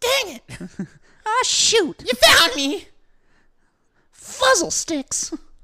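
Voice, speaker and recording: Using a put-on character voice with extremely high pitch and very wide pitch swings, the speaker talks very slowly, pausing long and often. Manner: mock-dismayed, silly.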